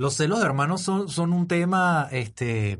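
A man speaks with a Venezuelan accent. His voice is somewhat breathy. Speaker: podcast host and father. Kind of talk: casual interview chat.

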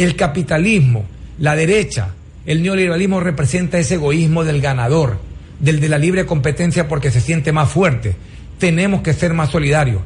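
The speech moves at a moderate pace with very even loudness and ordinary pitch variation. Noticeable background noise runs underneath. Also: man, fairly high pitch for a man. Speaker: government minister. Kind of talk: radio interview.

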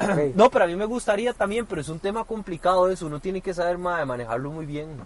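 Rushing at a very fast pace with hardly any pauses, a man talks in a high pitch with lively intonation. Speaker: podcast co-host. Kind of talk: casual chat. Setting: parked car.

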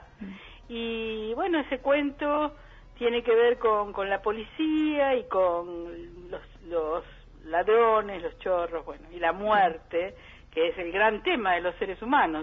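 A woman's fairly high voice, very slow in pace, with very wide pitch swings. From Buenos Aires suburbs (conurbano), Argentina. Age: 60s. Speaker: psychologist and poet. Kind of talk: interview. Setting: phone call.

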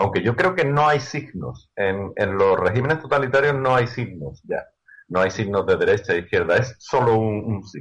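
Somewhat breathy delivery at a moderate pace, with lively intonation. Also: man, medium pitch for a man. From Andalusia, Seville. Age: 50s. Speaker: youtuber. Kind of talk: interview.

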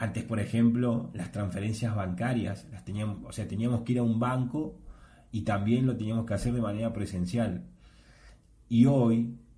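In a room with audible echo, a man speaks at a moderate pace and medium pitch with fairly even intonation and a dark, mellow, somewhat breathy tone. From Argentina. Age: 30s. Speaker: podcast host. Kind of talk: solo monologue podcast.

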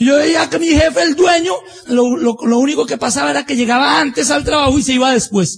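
A man with an extremely high pitch speaks at a fairly quick pace with lively intonation over noticeable background noise. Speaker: business motivational speaker. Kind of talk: motivational talk.

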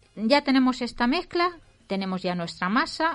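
A woman talks at a moderate pace with lively intonation. Music plays in the background. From Valencia, Spain. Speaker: radio cooking show host. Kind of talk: casual radio chat.

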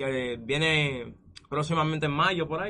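A man speaks at a fairly slow pace with a bright, sharp tone. His pitch is fairly high. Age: 20s. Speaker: esports gamer. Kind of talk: casual interview.

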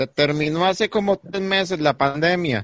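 A man speaks with a Costa Rican accent, his pitch high and its variation ordinary. The tone is animated, and the sound is dry and close with no echo. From Costa Rica, Palmares. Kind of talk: casual comedic chat, live-streamed.

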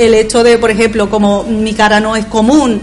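Over noticeable background noise, the speaker talks at a moderate pace in a monotone, flat intonation. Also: woman. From Bolivia. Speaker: immigration lawyer. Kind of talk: radio panel discussion.

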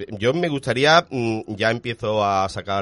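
In a plain, everyday voice, a man speaks at medium pitch with lively intonation, the sound dry and close with no echo. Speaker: radio film show host. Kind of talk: radio show, casual panel chat.

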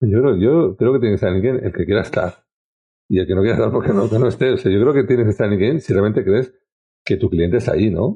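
A man speaks at a very fast pace in a fairly low, somewhat breathy voice. His loudness stays very even while his pitch varies in an ordinary way. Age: 50s. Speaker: sales trainer and social selling expert. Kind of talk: casual interview conversation.

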